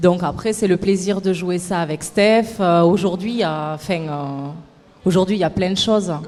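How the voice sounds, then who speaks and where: In a southern French accent, a woman speaks at a medium pitch and moderate pace. Her pitch variation is ordinary. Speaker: stage actress. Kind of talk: TV interview.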